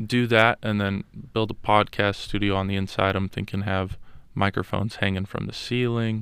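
In an American accent, the speaker keeps a moderate pace with monotone, flat intonation. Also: man, very clean recording, silent background. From Las Vegas, US. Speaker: college student. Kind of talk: casual chat. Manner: hesitant with many fillers.

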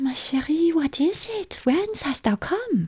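Using a put-on character voice, a woman speaks slowly at a high pitch with big pitch swings and a slightly mellow tone.

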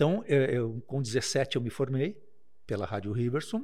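This man's voice comes across as somewhat breathy. He keeps to a moderate pace. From Taquara, Rio Grande do Sul, Brazil. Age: 50s. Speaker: lawyer. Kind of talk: casual chat.

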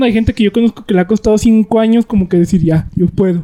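Very fast, lively speech from a man with a Mexican accent, high pitch and a dark, mellow tone, in a dry, close sound with no echo. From rural Mexico. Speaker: podcast co-host. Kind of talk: casual chat.

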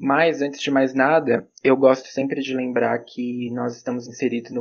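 A man talks in a monotone, flat way. His pitch is medium and his pace moderate. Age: 20s. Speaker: psychology student. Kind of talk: podcast panel discussion.

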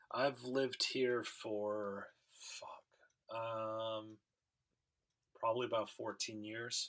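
Speaking very slowly with long, frequent pauses, a man with an American accent keeps a medium pitch and a monotone, flat intonation. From Michigan. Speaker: podcast co-host, bass player. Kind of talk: casual chat. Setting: remote call.

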